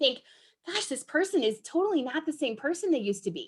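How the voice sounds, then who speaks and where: A woman talks at a fairly quick pace with very wide pitch swings. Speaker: enneagram presenter. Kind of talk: presentation. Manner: fast; animated.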